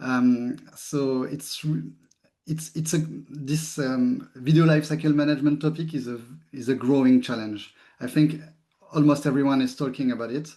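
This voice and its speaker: Speaking at a moderate pace, a man with a strong French accent uses a fairly high pitch, fairly even intonation and a dark, mellow tone. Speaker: tech company CEO. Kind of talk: webinar presentation.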